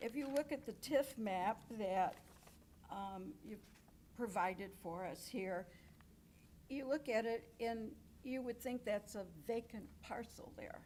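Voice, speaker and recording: A woman with a fairly high pitch and vocal fry speaks at a very slow pace, leaving long, frequent pauses. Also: ordinary pitch variation. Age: 80s+. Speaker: resident speaking at public comment. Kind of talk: public comment. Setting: village board meeting.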